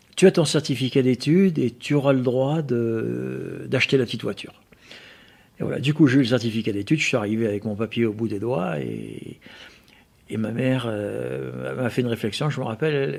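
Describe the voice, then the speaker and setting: Intonation rises and falls in a lively way. The man speaks at a fairly quick pace. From France, Auvergne (Riom area). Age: 60s. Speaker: motorcycle museum owner and collector. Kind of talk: interview. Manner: halting, many repetitions.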